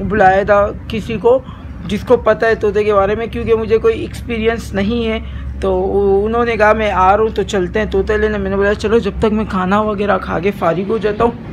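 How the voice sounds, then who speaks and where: Over light background noise, a man with a high pitch speaks in a flat monotone at a moderate pace. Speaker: vlogger. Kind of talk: casual vlog chat. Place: home room. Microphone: phone near.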